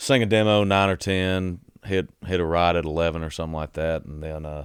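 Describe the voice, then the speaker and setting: A man speaks with a Southern US accent in a very deep, low voice with ordinary pitch variation. The recording is very clean, with a silent background. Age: 20s. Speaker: country singer-songwriter. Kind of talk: casual chat.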